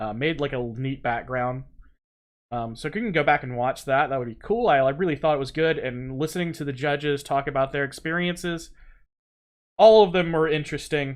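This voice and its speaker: A man with a slight Southern US accent, fairly high pitch and ordinary pitch variation. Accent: slight Southern US accent, little drawl. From US South. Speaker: game development streamer. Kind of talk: live-stream tutorial.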